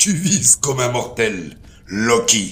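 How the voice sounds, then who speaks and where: A man speaks at a fairly slow pace in a put-on character voice, his pitch medium. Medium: read story. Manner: commanding.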